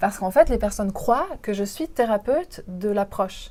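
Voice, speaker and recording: This woman's tone is dark and mellow. She talks at a fairly slow pace. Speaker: interpreter and voiceover artist. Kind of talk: interview answer.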